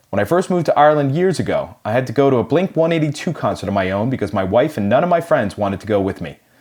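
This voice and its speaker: A man with a Boston accent talks at a very fast pace with hardly any pauses. His pitch is medium, with very wide swings. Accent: American Boston accent, kept. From US Northeast, Boston. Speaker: podcast host. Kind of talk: scripted intro narration; casual interview chat.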